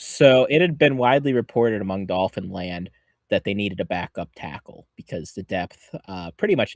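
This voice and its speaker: Speaking at a fairly quick pace with a northeastern Pennsylvania accent, a man uses lively intonation and big swings in loudness. The sound is dry and close with no echo, on a very clean recording with a silent background. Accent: Scranton. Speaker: football podcast co-host. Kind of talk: casual chat.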